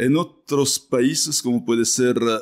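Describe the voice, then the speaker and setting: On a very clean recording with a silent background, a man of medium pitch speaks at a fairly slow pace with ordinary pitch variation. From France. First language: French (speaking Spanish). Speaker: business executive. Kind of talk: interview. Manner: halting.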